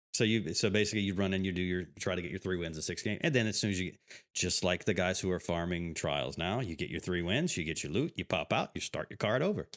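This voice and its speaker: In a very clean recording with a silent background, a man with an American accent and a very deep, low pitch talks at a very fast pace with ordinary pitch variation. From US, Tampa, Florida. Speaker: gaming podcast host and streamer. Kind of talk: casual chat. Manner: animated.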